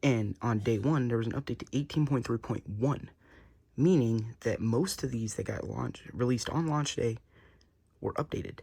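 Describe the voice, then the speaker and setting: A somewhat breathy man's voice at medium pitch. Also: very clean recording, silent background. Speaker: tech youtuber. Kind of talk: casual tech review. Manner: casual, informal.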